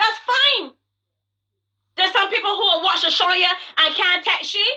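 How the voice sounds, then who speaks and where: A woman speaks in a raised, projected voice at an extremely high pitch with a bright, sharp, animated tone. Her pitch variation is ordinary and her loudness very even. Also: moderate pace. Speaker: network marketing coach. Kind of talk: motivational coaching talk on a livestream.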